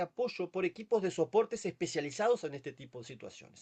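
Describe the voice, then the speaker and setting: With a dry, close sound and no echo, a man speaks at a fairly quick pace in a high voice that makes very wide pitch swings. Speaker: palliative care physician. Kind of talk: webinar lecture. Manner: fast. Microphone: no microphone, too quiet.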